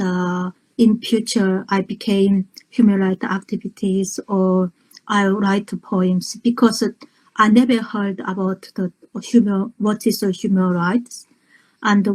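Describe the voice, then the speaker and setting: Her voice is somewhat breathy, a woman's at a medium pitch with fairly even intonation. She talks at a fairly slow pace in a dry, close sound with no echo. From North Korea. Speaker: human rights activist and poet. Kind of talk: interview. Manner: halting.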